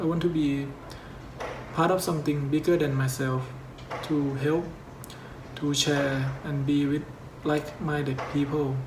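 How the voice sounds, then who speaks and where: A man with a non-native accent speaks at a fairly high pitch and a fairly slow pace, his intonation flat and monotone, with long, frequent pauses, audible room echo and noticeable background noise. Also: very even loudness. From Thailand. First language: Thai. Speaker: YouTuber. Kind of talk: scripted narration.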